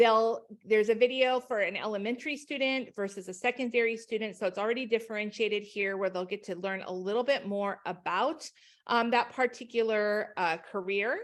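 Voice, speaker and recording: Speaking at a fairly quick pace, a woman has a normal speaking voice, fairly high in pitch, with ordinary pitch variation. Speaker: education company trainer. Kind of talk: webinar presentation.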